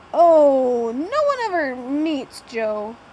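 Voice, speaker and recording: A put-on character voice with lively intonation. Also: woman, high pitch for a woman. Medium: read story. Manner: friendly, easygoing.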